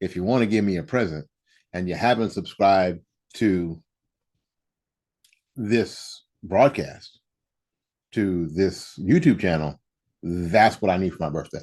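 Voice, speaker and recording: Over a quiet background, a man with a very deep, low voice speaks with ordinary pitch variation and long, frequent pauses. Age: 60s. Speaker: political commentary show host. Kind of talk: casual monologue. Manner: repetitive, hesitant with restarts.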